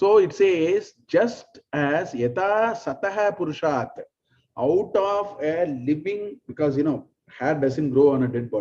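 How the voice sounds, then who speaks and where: A man's fairly high voice in a Tamil accent, dark and mellow in tone, with long, frequent pauses. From South India, Tamil. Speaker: spiritual teacher. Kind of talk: lecture.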